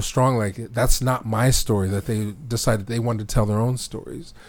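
A man speaks at a moderate pace in an ordinary speaking voice. His pitch is medium and his intonation fairly even. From Philadelphia, Mount Airy. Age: 40s. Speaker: filmmaker. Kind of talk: interview. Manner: conversational with many fillers.

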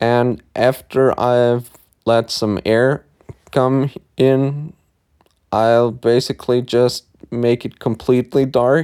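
A man with a German accent speaks at a very slow pace and medium pitch, with long, frequent pauses, a dark, mellow tone, fairly even intonation, and a dry, close sound with no echo. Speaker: podcast host. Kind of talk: solo podcast monologue. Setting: in bed at home. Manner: casual.

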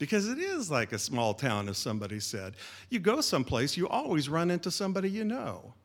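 An American accent from a man, with very wide pitch swings. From Sacramento, California. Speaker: storyteller, one-man show performer. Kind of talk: live storytelling. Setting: stage with audience.

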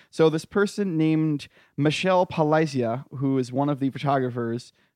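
A man with an American accent speaks in an ordinary speaking voice, fairly high in pitch, with lively intonation. The sound is dry and close with no echo, over a quiet background. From rural US. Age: 30s. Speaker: podcast co-host. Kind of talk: casual comedic debate chat.

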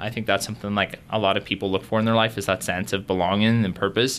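A man speaks at a very fast pace with a fairly low pitch and a bright, sharp tone. His intonation is monotone and flat. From Northern Ireland, Derry. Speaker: university student. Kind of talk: interview.

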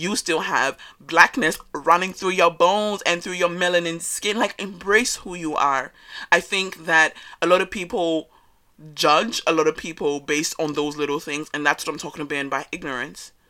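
Loud and animated, a woman speaks at a fairly low pitch with a bright, sharp tone. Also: ordinary pitch variation, moderate pace. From West Africa, raised in Australia. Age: 20s. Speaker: podcast host. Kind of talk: casual monologue.

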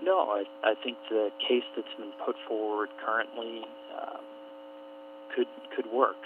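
With an American accent, a man talks at a fairly slow pace, leaving long, frequent pauses over noticeable background noise. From Alaska. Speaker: energy analyst. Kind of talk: radio interview. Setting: radio broadcast.

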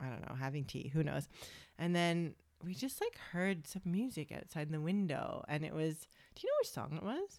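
With a Canadian accent and an unremarkable speaking voice, a woman speaks at a moderate pace in a fairly low pitch with lively intonation. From Canada, Toronto. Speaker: podcast host. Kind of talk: casual chat.

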